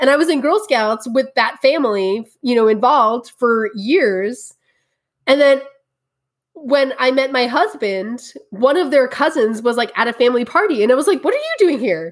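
A woman with a New York accent talks at a moderate pace in a high pitch, her intonation lively. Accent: New York area. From New Jersey. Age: 30s. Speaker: tea educator. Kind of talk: interview.

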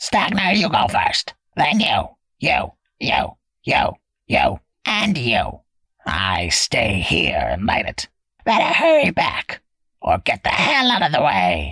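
A raspy, put-on character voice at a fairly slow pace, broken by long, frequent pauses.

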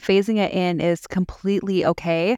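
In a plain, everyday voice, a woman speaks at a fairly low pitch with fairly even intonation, recorded dry and close with no echo, very clean, over a silent background. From Southern California. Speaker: nutrition coaching client. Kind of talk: interview testimony.

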